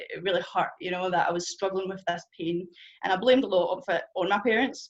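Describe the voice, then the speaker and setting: A woman with a strong Scottish accent talks at a fairly quick pace and medium pitch, her intonation fairly even. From Scotland. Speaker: churchgoer sharing testimony. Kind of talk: testimony. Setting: church group gathering with audience. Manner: fast.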